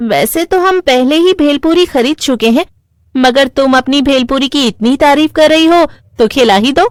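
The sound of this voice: Someone uses a cartoonish character voice at a moderate pace. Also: female-sounding voice, high pitch for a woman.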